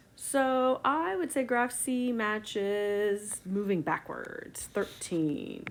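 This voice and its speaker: A woman's fairly high voice, very slow yet with hardly any pauses, lively in intonation and very even in loudness. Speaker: science teacher. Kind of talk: tutorial.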